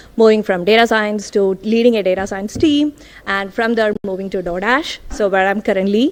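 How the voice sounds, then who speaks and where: A woman speaks at a moderate pace in a medium pitch. Her intonation stays fairly even. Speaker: data scientist. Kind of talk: tech talk. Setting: stage with audience. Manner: loud.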